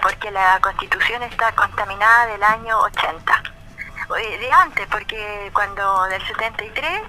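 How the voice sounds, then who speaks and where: A woman speaks very slowly over light background noise. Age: 80s+. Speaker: pension protester. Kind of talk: radio phone interview answer.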